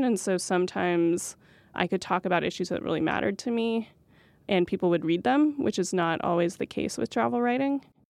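A woman talks at a moderate pace with lively intonation in a plain, everyday voice. The background is quiet. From rural New Mexico, US. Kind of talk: interview.

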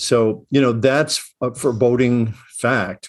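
Against a quiet background, a man speaks with a Midwestern accent. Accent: American Midwestern. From US Midwest, Chicago. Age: 60s. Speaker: professor, conflict resolution expert. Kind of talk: interview. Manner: halting, many fillers and restarts.

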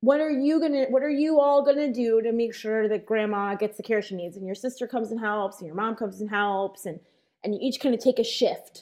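Against a quiet background, a woman talks in an ordinary speaking voice at a fairly high pitch and a fairly quick pace. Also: ordinary pitch variation. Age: 30s. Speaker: advocacy organizer. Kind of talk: interview.

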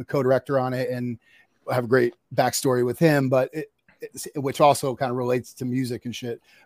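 A man's voice at medium pitch and moderate pace, dark and mellow in tone, with an American accent and a dry, close sound with no echo. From US Northeast, North Jersey. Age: 50s. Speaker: documentary filmmaker. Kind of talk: casual interview chat.

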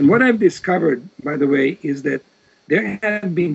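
A man with a Serbo-Croatian accent and very wide pitch swings. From Serbia, Vojvodina region of former Yugoslavia. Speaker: professor of religious studies and genocide author. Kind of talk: interview.

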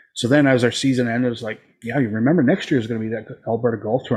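This man talks at a very fast pace. His medium-pitched voice is somewhat breathy. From Newfoundland. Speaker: podcast host. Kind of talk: casual chat.

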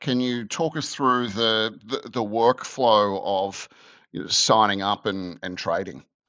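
A man's fairly slow delivery in an Australian accent. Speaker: podcast host. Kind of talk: interview.

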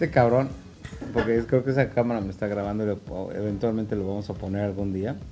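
In a Mexican accent, a man with a fairly low voice talks at a fairly quick pace with fairly even intonation. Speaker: podcast host. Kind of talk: casual chat.

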